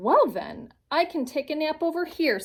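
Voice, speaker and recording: Putting on a character voice, a woman speaks high in pitch at a moderate pace. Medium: read story.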